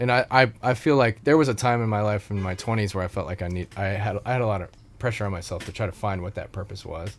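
Speaking very fast, a man with an American accent uses a fairly low pitch and ordinary pitch variation. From US Midwest and Colorado. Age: 30s. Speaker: nonprofit founder. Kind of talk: casual interview. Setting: camper studio.

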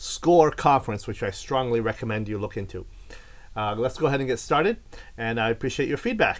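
A man's unremarkable speaking voice, with lively intonation and a fairly quick pace. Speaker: podcast host and philosophy professor. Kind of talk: interview.

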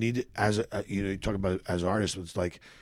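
This man has a very deep, low pitch and speaks with a Philadelphia accent. His pace is fairly quick, with ordinary pitch variation. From US Northeast, Philadelphia. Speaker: comedian. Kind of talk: casual chat.

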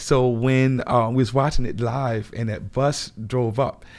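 A man speaks at a medium pitch with a New Orleans accent. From New Orleans, Lower Ninth Ward. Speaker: grocery store owner, army veteran. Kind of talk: interview.

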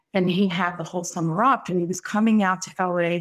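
In a plain, everyday voice with an American accent, a woman speaks at a moderate pace with fairly even intonation and a fairly low pitch, on a very clean recording with a silent background. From Brooklyn, New York. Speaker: psychic medium. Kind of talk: casual chat.

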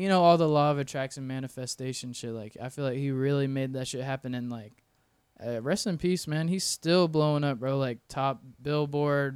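A man uses a normal speaking voice with an American accent, fairly high in pitch with ordinary pitch variation, at a moderate pace. The recording is very clean, with a silent background. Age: 20s. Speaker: photographer and videographer. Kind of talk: casual chat.

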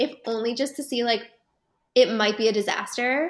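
With a Canadian accent, a woman talks in an animated tone. Her pitch is high. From Canada. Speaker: film festival guest reviewer. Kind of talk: casual chat. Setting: studio.

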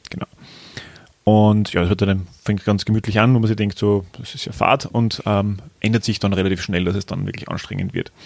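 His pitch fairly low and his intonation fairly even, the man talks at a moderate speed. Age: 30s. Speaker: podcast co-host and amateur cyclist. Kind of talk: casual chat. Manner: hesitant, many fillers.

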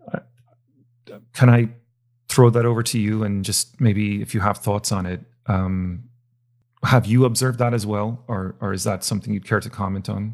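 A man's fairly low voice with fairly even intonation, a moderate pace and long, frequent pauses, on a very clean recording with a silent background. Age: 40s. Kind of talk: political discussion. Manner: hesitant, many fillers.

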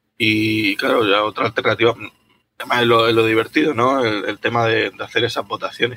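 The speaker moves at a fairly quick pace with a monotone, flat intonation. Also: man, medium pitch for a man. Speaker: geology outreach organizer. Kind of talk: casual chat.

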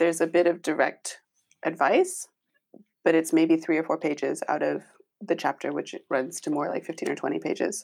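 At a fairly quick pace, a woman talks with an American accent. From United States. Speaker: parent. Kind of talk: panel discussion.

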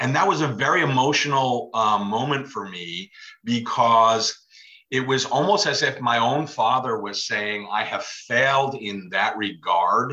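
Using a normal speaking voice, a man at medium pitch talks at a fairly slow pace with lively intonation. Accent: American. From New York, Westchester County. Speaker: author and funeral director. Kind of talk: casual interview chat.

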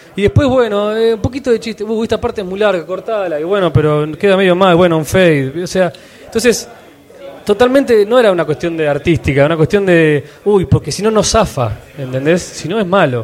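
A man at a high pitch with lively intonation and a fairly quick pace, over noticeable background noise. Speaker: podcaster. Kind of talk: live panel interview. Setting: stage with audience.

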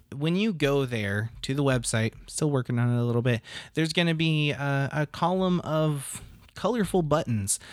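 Recorded very cleanly against a silent background, a man with a normal speaking voice talks at a moderate pace and fairly high pitch with ordinary pitch variation. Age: 30s. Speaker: podcast host. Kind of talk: casual chat.

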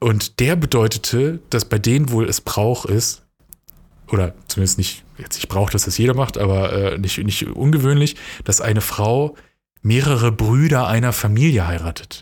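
Somewhat breathy, a man speaks at a medium pitch. His pace is moderate and his pitch variation ordinary. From western Germany, near Dortmund (NRW). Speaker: podcast co-host. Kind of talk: casual chat.

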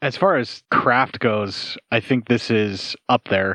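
A man with an ordinary speaking voice talks at a fairly low pitch with fairly even intonation, in dry, close sound with no echo. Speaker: podcast host. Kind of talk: casual banter, movie commentary. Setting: remote recording. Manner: joking, informal.

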